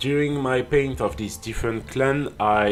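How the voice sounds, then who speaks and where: A medium-pitched male voice with a French accent and ordinary pitch variation. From France. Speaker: miniature painting youtuber. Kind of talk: tutorial. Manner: halting, many fillers.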